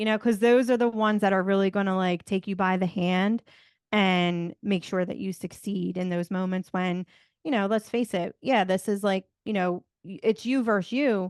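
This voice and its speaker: Against a quiet background, a woman with a Philadelphia accent speaks in an energetic tone at a moderate pace and medium pitch, with a dry, close sound with no echo. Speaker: motivational speaker and podcaster. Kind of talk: casual interview chat.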